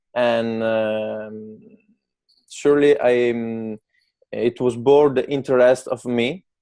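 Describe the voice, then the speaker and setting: A man with an Italian accent speaks at a very slow pace and medium pitch. His tone is dark and mellow, with fairly even intonation. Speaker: barbershop owner, English learner. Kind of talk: interview. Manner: halting, many fillers.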